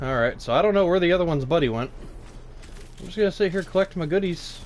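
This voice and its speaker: Animated and very fast, a man speaks in a high voice with noticeable background noise. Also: ordinary pitch variation. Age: 20s. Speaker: gaming streamer. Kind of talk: live gameplay commentary.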